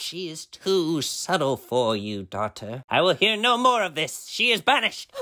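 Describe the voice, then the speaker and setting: This man talks at a moderate pace with a fairly high pitch and very wide pitch swings. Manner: commanding, menacing.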